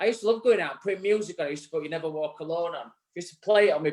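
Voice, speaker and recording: Talking at a very fast pace with a Yorkshire accent, a man shows ordinary pitch variation and big swings in loudness. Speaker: barbering show co-host. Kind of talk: casual live show chat. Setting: live online show. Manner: halting.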